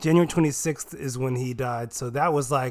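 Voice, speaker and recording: Medium pitch, a moderate pace and a plain, everyday voice from a male speaker. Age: 20s. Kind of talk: casual chat.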